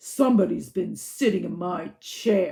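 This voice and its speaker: This is a put-on character voice with a growling quality. It sits at a middle pitch. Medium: read story.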